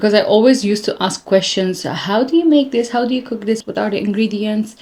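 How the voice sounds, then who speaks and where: A woman speaks at a medium pitch and a fairly quick pace, with ordinary pitch variation. Noticeable background noise is present. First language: not English. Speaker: lifestyle vlogger. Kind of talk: casual vlog chat reading comments.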